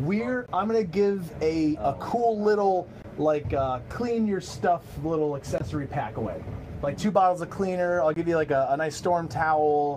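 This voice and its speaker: A man's high voice with lively intonation at a moderate pace, over noticeable background noise. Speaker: bowling pro shop owner and livestream host. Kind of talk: casual livestream chat. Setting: live video stream in a bowling shop. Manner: halting, many repeated words.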